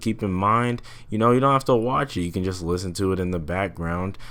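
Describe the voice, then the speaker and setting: A man with a very deep, low pitch, ordinary pitch variation and a moderate pace, on a very clean recording with a silent background. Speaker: gaming youtuber. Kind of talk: casual commentary. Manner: unscripted, halting.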